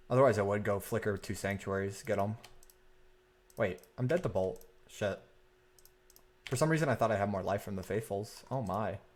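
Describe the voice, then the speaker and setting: A quiet man with a fairly low voice talks at a fairly quick pace, broken by long, frequent pauses. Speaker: streamer playing card game. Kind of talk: live gameplay commentary.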